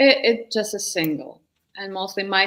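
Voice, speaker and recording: A woman with a Ukrainian accent. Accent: Russian-speaking Ukrainian accent in English. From Ukraine, Kyiv. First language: Russian. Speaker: singer-songwriter and vocal coach. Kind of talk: interview. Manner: halting.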